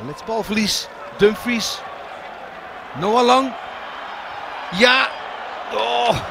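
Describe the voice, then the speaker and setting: A man with a high pitch talks very slowly against noticeable background noise. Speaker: football commentator. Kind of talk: live football commentary. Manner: excitable at chances, with exclamations.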